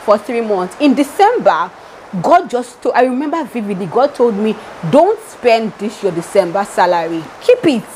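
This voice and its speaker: In an animated tone, a woman talks at a moderate pace with a fairly high pitch. Noticeable background noise is present. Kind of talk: devotional teaching.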